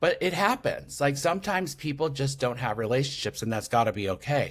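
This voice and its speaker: This man sounds animated, his fairly high voice carrying lively intonation, a somewhat breathy quality and a fairly quick pace. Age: 60s. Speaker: podcaster and intuitive. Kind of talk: podcast interview.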